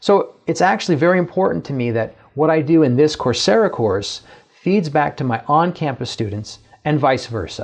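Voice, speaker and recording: At a moderate pace, a man with a fairly high pitch and lively intonation talks in a plain, everyday voice. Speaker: professor. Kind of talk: lecture.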